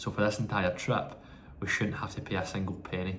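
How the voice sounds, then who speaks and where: A man speaks with a Scottish accent. Noticeable background noise runs behind him. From Scotland. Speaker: vlogger in Ironman training. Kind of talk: travel vlog narration. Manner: casual, chatty.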